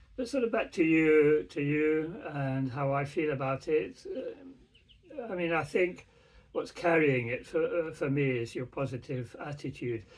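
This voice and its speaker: There is noticeable background noise as a man talks at a fairly slow pace. His pitch is fairly high and his intonation lively. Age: 70s. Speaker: father of the channel owner. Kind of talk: casual chat. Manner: halting.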